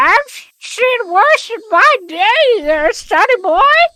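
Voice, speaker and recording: A female-sounding, put-on character voice speaks at a very slow pace. The pitch is extremely high for a woman. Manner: gruff, crotchety.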